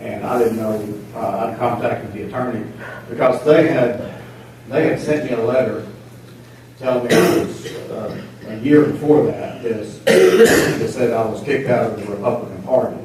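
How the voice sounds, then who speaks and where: A man with an American accent in a medium pitch, at a moderate pace with ordinary pitch variation and big swings in loudness, with audible room echo and noticeable background noise. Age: 70s. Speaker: local political candidate. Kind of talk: testimony. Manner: halting.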